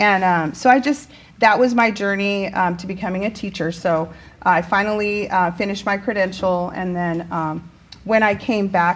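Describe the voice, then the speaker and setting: Speaking with a Spanish accent, a woman has a medium pitch and an animated tone. Her pace is moderate and her pitch variation ordinary. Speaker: teacher. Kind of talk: casual interview chat. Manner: animated, many fillers.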